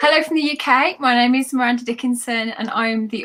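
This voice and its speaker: A woman with an English Midlands accent, a fairly high pitch, fairly even intonation and a very fast pace, over noticeable background noise. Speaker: novelist. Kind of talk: panel discussion.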